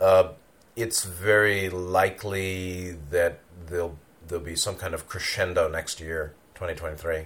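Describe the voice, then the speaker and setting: A man's very deep, low-pitched voice, monotone and flat, at a very slow pace. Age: 60s. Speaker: spiritual teacher. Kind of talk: monologue talk. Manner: halting.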